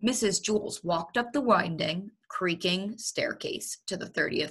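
The background stays quiet. It is plain reading aloud, and the pitch varies in an ordinary way.

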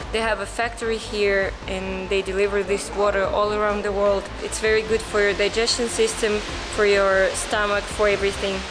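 A woman speaks in a monotone, flat voice at a moderate pace, with hardly any pauses. Noticeable background noise runs underneath. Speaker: travel vlogger. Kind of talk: casual vlog chat. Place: hall.

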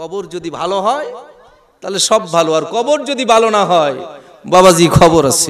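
With lively intonation, a man talks in a high voice over light background noise. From Bangladesh. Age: 40s. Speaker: Islamic preacher. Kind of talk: sermon. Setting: outdoor religious gathering with audience. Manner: animated. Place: stage. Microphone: podium.

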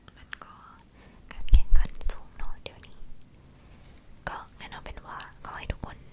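A woman is whispering. Her loudness swings widely. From Thailand. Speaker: ASMR creator. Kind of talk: ASMR whispering, casual talk to camera. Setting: studio, close microphone recording. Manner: whispered, soft-spoken. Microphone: studio mic.

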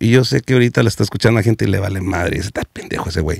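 A man's dark, mellow voice with ordinary pitch variation, dry with no echo, over a quiet background. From US West Coast (South Central Los Angeles); Los Angeles. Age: 40s. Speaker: comedian; comedian guest. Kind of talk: casual chat. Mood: joking, candid, slangy. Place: studio. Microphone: studio mic.

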